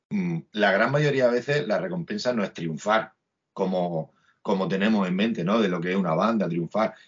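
With lively intonation, an unremarkable speaking voice goes along at a fairly slow pace. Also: man. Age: 40s. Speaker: musician. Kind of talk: casual chat interview.

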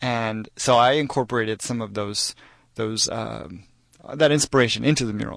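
Against a quiet background, a man speaks with an American accent. It is a normal speaking voice at a moderate pace. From Texas. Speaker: muralist and street artist. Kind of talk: radio interview. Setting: radio studio.

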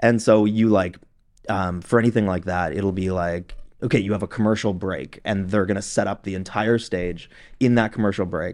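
Over a quiet background, a man with a Canadian accent talks at a moderate pace in a normal speaking voice. His pitch sits fairly low, and his intonation stays fairly even. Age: 30s. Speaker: professional touring drummer. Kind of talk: casual interview chat.

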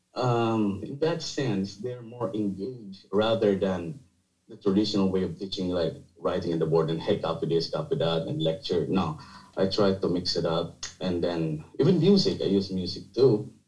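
A man speaks in a somewhat breathy, fairly low voice with a Filipino accent. His pace is moderate and his intonation lively. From Philippines (Bicol region). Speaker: architect and university teacher. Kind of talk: casual interview chat. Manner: halting, with fillers and repetitions.

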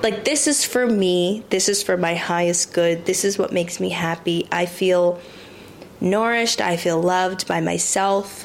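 The voice moves at a fairly slow pace with ordinary pitch variation and very even loudness, over noticeable background noise. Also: woman, medium pitch for a woman. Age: 20s. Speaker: podcast host and model. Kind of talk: casual solo monologue. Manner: rambling, conversational.

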